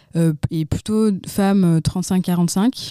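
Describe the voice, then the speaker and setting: Fairly low female voice with a dark, mellow tone, ordinary pitch variation, and a dry, close sound with no echo. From France, Lyon. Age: 20s. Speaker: nonprofit founder. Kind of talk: interview. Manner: hesitant, with frequent fillers and repetitions.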